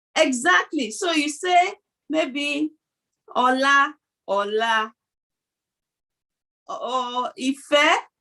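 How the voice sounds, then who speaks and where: In a Nigerian accent, a woman speaks very slowly with long, frequent pauses. Her high voice is raised and projected, bright and sharp in tone, with lively intonation. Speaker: video podcast co-host. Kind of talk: casual chat.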